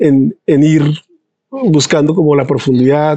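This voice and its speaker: The tone is dark and mellow, delivered at a fairly slow pace with fairly even intonation in a dry, close recording with no echo. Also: man. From Colombia, San Andrés island. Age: 50s. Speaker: pulmonologist and physiology researcher. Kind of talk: interview.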